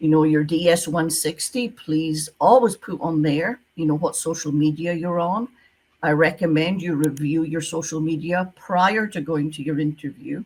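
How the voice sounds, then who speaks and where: A woman's fairly low voice in a Scottish accent, at a moderate pace with ordinary pitch variation and hardly any pauses. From Scotland. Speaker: retired visa officer, visa consultant. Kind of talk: interview.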